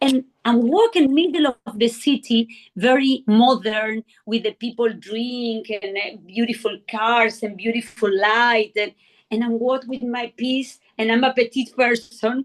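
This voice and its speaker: A woman talks at a fairly slow pace with fairly even intonation, in a dry, close sound with no echo. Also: fairly high pitch for a woman. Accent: non-native. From South America. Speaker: art collector. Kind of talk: interview. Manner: halting.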